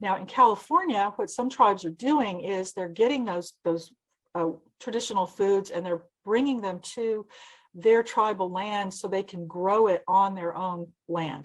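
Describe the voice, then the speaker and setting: A plain, everyday voice moves at a fairly slow pace with lively intonation. The background is quiet. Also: woman. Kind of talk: lecture. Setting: seminar presentation.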